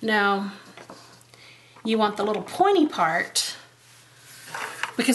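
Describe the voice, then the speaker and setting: Over noticeable background noise and with audible room echo, a woman speaks with lively intonation. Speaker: card-making crafter. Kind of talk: craft tutorial. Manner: casual, chatty.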